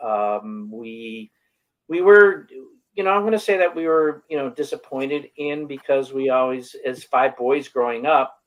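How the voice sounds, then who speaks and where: With an American accent, a man talks at a fairly slow pace using lively intonation. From Western New York, near Buffalo. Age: 60s. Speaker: wellness coach. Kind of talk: interview. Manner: halting.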